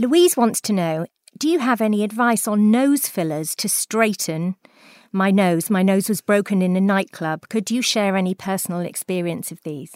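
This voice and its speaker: With a Welsh accent, a woman speaks at medium pitch and a moderate pace with ordinary pitch variation, in a very clean, dry, close recording with a silent background and no echo. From South Wales. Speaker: beauty podcast host and journalist. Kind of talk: casual chat.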